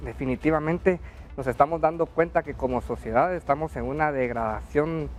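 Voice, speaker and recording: With music in the background, a man's fairly high-pitched voice moves fairly quickly, its pitch varying in an ordinary way. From Guatemala. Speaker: TV news co-host. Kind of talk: TV panel discussion.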